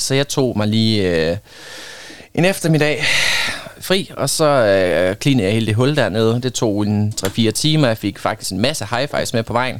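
A medium-pitched man with lively intonation at a fairly slow pace, against noticeable background noise. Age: 20s. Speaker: volunteer litter picker. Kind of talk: casual interview. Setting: studio.

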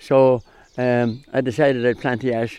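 A man with a Clare accent speaks at a moderate pace and a medium pitch, against a quiet background. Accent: Clare Irish. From Ireland, County Clare. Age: 80s+. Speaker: hurley maker. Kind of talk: radio interview. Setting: outdoors.

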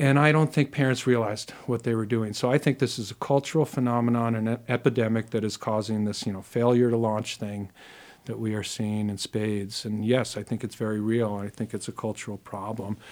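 With an American accent, a man uses a plain, everyday voice at a medium pitch and fairly even intonation. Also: fairly quick pace. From US, New York City. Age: 50s. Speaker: educational consultant. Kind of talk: casual chat. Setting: studio.

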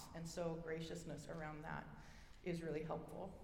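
A woman with an American accent speaks fairly quickly, and there is noticeable background noise. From Oregon, US. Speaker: speaker sharing personal story, hearing loss. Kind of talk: personal testimony talk. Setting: stage with audience.

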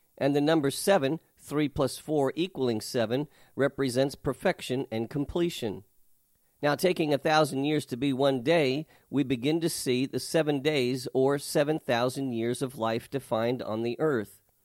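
Using a normal speaking voice, a man talks at a moderate pace in a fairly high pitch with ordinary pitch variation, recorded dry and close with no echo on a very clean recording with a silent background. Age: 60s. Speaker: pastor. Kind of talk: Bible teaching.

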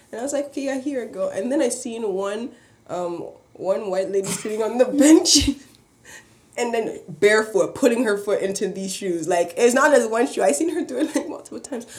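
A woman talks at a fairly quick pace in a fairly high voice with lively intonation, and noticeable background noise can be heard. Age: young. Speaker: podcast co-host. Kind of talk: casual chat.

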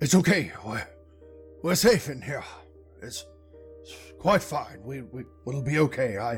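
Using a put-on character voice, a man speaks fairly slowly in an anxious tone as music plays clearly in the background. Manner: fussy, reassuring, anxious.

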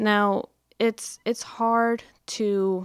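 A woman speaks with a Texan accent at a fairly high pitch and fairly even intonation. The sound is dry and close with no echo, on a very clean recording with a silent background. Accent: Texan American. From Dallas area, Texas. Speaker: human trafficking victim advocate. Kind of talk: interview.

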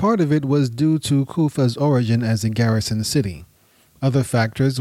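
The voice reads in an unforced way with ordinary pitch variation.

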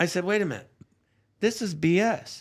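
In a very clean recording with a silent background, a man talks at a moderate pace in a high-pitched voice. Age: 60s. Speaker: political scandal figure, interview guest. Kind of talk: live-streamed interview, casual.

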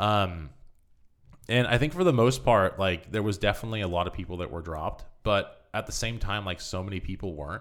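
In a Californian accent, a man with a fairly low pitch talks at a fairly quick pace. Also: ordinary pitch variation. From US West Coast, Marin County, California. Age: 20s. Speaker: mountain bike content creator. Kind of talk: casual chat.

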